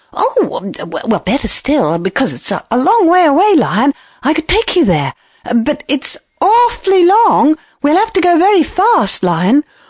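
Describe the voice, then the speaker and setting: The voice is a put-on character voice with very wide pitch swings. It moves at a moderate pace. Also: woman, high pitch for a woman. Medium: read story. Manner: sly.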